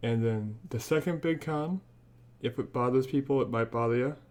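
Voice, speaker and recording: Someone with a Midwestern American accent talks against a quiet background. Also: man. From Northwest Indiana, US Midwest. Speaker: podcast co-host, tech reviewer. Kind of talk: casual product review chat.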